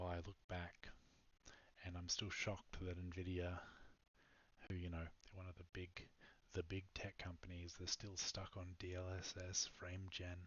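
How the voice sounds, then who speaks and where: Whispering with an Australian accent, a man goes at a fairly slow pace, with long, frequent pauses. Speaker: startup founder and programmer. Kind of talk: product pitch. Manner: halting, many fillers.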